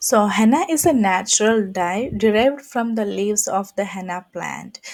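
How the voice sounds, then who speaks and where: A woman with a Keralan accent speaks at a moderate pace, her medium pitch rising and falling in an ordinary way. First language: Malayalam. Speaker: henna artist. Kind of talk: tutorial. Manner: halting.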